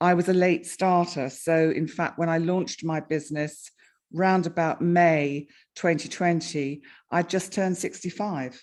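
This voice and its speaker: A woman with an ordinary speaking voice and fairly low pitch talks at a fairly slow pace with fairly even intonation on a very clean recording with a silent background. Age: 60s. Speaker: astrologer and YouTuber. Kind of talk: casual interview.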